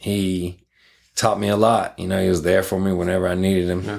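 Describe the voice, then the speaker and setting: In a very clean recording with a silent background, a man with a very deep, low pitch and a slight Southern accent speaks in a flat monotone. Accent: Southern, slight country. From Jacksonville and rural northeast Florida. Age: 30s. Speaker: coach, recovering addict. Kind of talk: casual chat, personal testimony.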